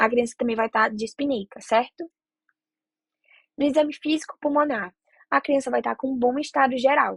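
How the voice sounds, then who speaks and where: A high-pitched woman with a Brazilian accent, ordinary pitch variation and long, frequent pauses, in a dry, close sound with no echo. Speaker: medical student tutor. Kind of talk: lecture. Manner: fast.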